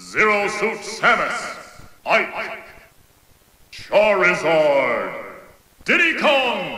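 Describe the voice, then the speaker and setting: A man speaks at an extremely high pitch with very wide pitch swings. Noticeable background noise runs underneath. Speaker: voice actor, game announcer. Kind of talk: video game announcer calls.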